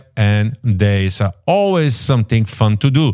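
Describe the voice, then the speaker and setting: A man's very slow speech with a non-native accent, the sound dry and close with no echo. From immigrant, non-English-speaking country. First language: not English. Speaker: realtor and podcast host. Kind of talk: podcast market report and interview. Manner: halting, many fillers and restarts.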